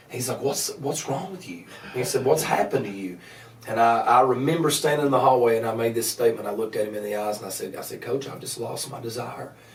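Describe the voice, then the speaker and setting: A man of medium pitch with an Appalachian accent, talking at a very fast pace, with big swings in loudness, noticeable background noise and audible room echo. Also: ordinary pitch variation. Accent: Appalachian Southern US. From US Appalachia, Grundy, Virginia. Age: 30s. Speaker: evangelist. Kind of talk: podcast interview testimony. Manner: halting, many repeated words.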